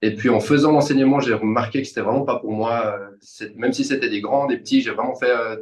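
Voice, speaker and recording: With a normal speaking voice, this man talks at a moderate pace in a medium pitch, using fairly even intonation and hardly any pauses. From Switzerland, Vevey region (French-speaking). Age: 30s. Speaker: personal trainer. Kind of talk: casual interview conversation.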